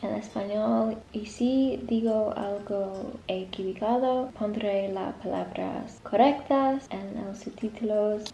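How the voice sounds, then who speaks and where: A woman talks at a fairly slow pace with an English accent, a fairly high pitch and fairly even intonation. Noticeable background noise runs under her voice. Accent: English accent when speaking Spanish. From North of England. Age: young. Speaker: university student. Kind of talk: casual vlog talk to camera.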